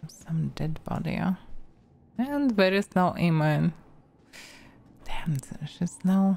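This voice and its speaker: A woman's fairly low, somewhat breathy voice with a dark, mellow tone and a Russian accent, very slow in pace, with lively intonation and long, frequent pauses. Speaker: vtuber, game streamer. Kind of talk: casual gameplay commentary.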